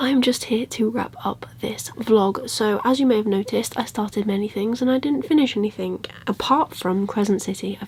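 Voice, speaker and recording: A woman puts on a raspy character voice, quiet and fairly high-pitched, at a moderate pace with hardly any pauses. Light background noise is present. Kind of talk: casual vlog. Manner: quiet, hushed.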